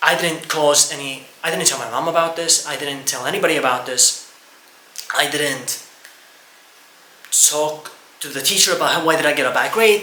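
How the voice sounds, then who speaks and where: Amid noticeable background noise and audible room echo, a man speaks at a moderate pace in a fairly high pitch with ordinary pitch variation. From Estonia. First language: Estonian. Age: 20s. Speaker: YouTuber. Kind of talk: personal testimony. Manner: halting.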